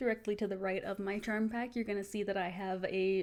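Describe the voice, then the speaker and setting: Medium pitch from a woman speaker. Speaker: quilter. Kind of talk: tutorial talk to camera. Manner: monotone.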